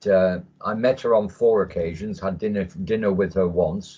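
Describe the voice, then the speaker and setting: Speaking with an English accent, a man keeps a moderate pace. His pitch is fairly low, with ordinary variation. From England. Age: 60s. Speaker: military veteran. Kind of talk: casual chat. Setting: video call.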